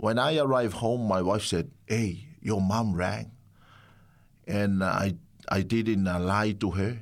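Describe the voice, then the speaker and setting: A man with a Samoan accent speaks very slowly at a fairly low pitch, with ordinary pitch variation and very even loudness. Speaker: pastor. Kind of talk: testimony. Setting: studio. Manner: halting.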